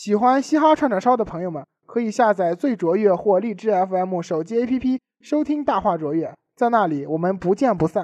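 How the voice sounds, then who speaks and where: A man with a Tianjin accent speaks at a high pitch and moderate pace with lively intonation. The sound is dry and close, with no echo. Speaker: student radio host. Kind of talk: scripted comedic banter. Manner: animated.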